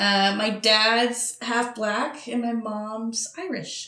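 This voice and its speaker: A very slow, fairly high voice from a woman. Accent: Montreal. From Montreal, Quebec, Canada. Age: young. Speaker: podcast co-host. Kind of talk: casual chat.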